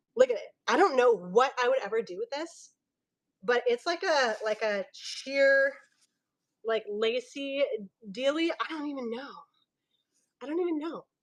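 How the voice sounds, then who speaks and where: A woman's high-pitched voice, fairly slow, with long, frequent pauses, an animated tone and lively intonation. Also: big swings in loudness. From Filipino heritage. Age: 30s. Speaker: online fabric seller. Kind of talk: live sales stream. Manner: loud.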